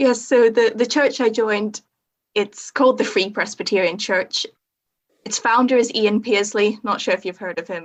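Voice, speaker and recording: At a moderate pace, a woman with a Northern Irish accent talks at a fairly high pitch with ordinary pitch variation. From Northern Ireland. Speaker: theology student training as chaplain. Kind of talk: podcast interview.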